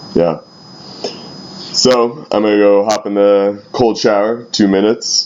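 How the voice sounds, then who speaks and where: Noticeable background noise fills the recording. Over it, a man speaks at a very slow pace. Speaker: youth pastor. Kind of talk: personal video diary. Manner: hesitant, many fillers.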